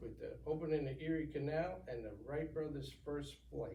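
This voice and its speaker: A man at a moderate pace, with audible room echo. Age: 60s. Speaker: retired navy veteran. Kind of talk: interview. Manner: halting.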